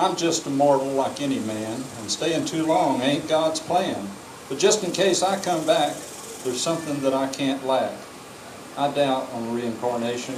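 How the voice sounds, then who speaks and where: This man has an American accent and a fairly high pitch, with ordinary pitch variation. He talks at a moderate pace over noticeable background noise. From Texas. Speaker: cowboy poet. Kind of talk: poetry reading. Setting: outdoors.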